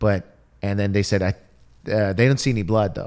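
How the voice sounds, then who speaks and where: An unremarkable speaking voice with an American accent, moderate pace and ordinary pitch variation. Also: man. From Detroit, US Midwest. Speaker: comedian. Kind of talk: casual chat.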